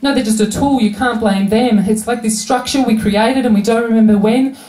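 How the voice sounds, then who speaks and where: A woman talks at a fairly quick pace in a fairly high, monotone voice with flat intonation and very even loudness. Noticeable background noise runs under the recording. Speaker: slam poet. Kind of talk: poetry slam performance.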